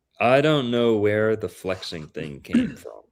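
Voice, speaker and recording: Moving at a moderate pace, a man's speech carries lively intonation. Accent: Appalachian. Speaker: guest discussing astrology and history. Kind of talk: casual chat.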